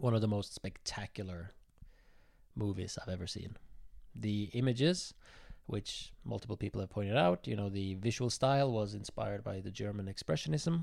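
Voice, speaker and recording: On a very clean recording with a silent background, the speaker talks at a moderate pace with a Norwegian accent and ordinary pitch variation. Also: man, fairly low pitch for a man. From southern Norway. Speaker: film club member. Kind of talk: casual chat.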